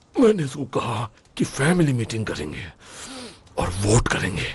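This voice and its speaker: A man puts on a character voice with very wide pitch swings. He speaks at a fairly slow pace. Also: medium pitch for a man. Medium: fan dub.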